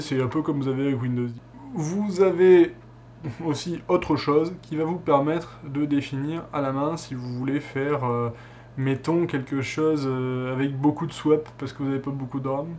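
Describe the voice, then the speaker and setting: The speaker goes at a moderate pace with ordinary pitch variation. Light background noise is present. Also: man. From southern France. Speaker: tech tutorial youtuber. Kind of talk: tutorial. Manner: casual, hesitant with many fillers. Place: home room.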